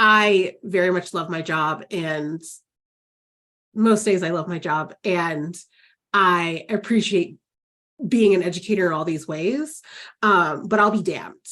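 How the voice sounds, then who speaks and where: On a very clean recording with a silent background, the speaker's bright, sharp tone comes with ordinary pitch variation and long, frequent pauses. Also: woman, fairly low pitch for a woman, fairly slow pace. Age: 40s. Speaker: counselor educator, podcast host. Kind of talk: podcast interview. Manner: casual, filler-heavy.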